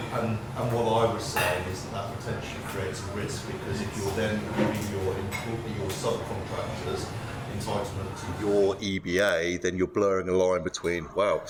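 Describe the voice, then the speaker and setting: Through noticeable background noise and audible room echo, a man speaks at a moderate pace in a fairly low pitch with monotone, flat intonation. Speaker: panel speaker. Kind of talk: panel discussion. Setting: networking event with audience. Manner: loud.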